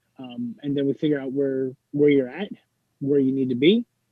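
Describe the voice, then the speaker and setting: Here is a plain, everyday voice from a man. His pitch is fairly high with ordinary variation, and he goes at a moderate pace. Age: 30s. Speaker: fitness enthusiast and Navy veteran. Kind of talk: casual interview. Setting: video call.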